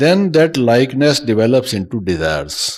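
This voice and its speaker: His medium-pitched voice swings very widely in pitch as the man speaks. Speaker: spiritual teacher. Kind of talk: spiritual lecture. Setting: talk with live translation to audience.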